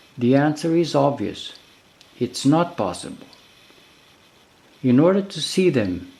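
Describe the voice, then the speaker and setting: Speaking with a non-native accent, a man has a dark, mellow tone and a fairly high pitch with very wide pitch swings. His pace is fairly slow, with long, frequent pauses. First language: not English. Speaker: video creator. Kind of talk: narrated explainer video.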